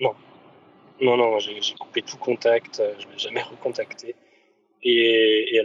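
A man speaking at a fairly slow pace, with long, frequent pauses and big swings in loudness. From rural France. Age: 30s. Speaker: podcast guest. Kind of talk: testimony. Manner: halting.

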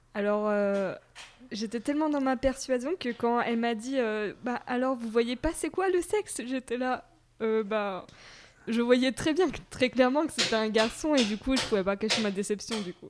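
A woman with a high voice speaks fairly slowly, her intonation lively. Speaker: mother of a toddler. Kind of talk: casual chat. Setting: home recording in host's apartment.

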